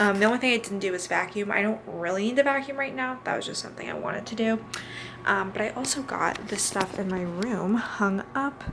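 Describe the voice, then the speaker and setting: With an American accent, a woman speaks at a medium pitch over noticeable background noise. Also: ordinary pitch variation, fairly quick pace. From Missouri, US Midwest. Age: 20s. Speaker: lifestyle vlogger. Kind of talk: casual vlog monologue. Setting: at home, bedroom. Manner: filler-heavy (um, like).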